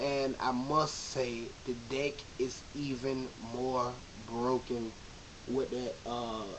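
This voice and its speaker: A man's flat, monotone voice at medium pitch, with noticeable background noise. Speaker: card game video maker. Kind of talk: casual vlog talk. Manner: halting, many fillers.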